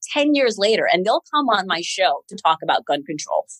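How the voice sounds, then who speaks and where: An unremarkable speaking voice from a woman with an American accent, medium in pitch, fairly quick, lively in intonation, with a dry, close sound and no echo. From New York City (Queens), US. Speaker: TV news anchor. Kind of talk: interview.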